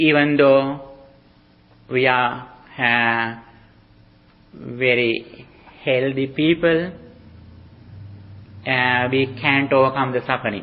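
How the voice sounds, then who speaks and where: Speaking with a non-native accent, a man with a medium-pitched voice talks at a very slow pace, using fairly even intonation and long, frequent pauses. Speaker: Buddhist monk teacher. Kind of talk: dharma talk. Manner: halting.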